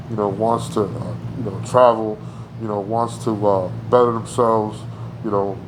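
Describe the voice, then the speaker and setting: An American-accented man with a fairly low pitch speaks in a monotone, flat way at a moderate pace, leaving long, frequent pauses, amid audible room echo and noticeable background noise. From New Jersey (Paterson). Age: 40s. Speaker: artist. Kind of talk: interview. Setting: in person. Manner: halting, many fillers.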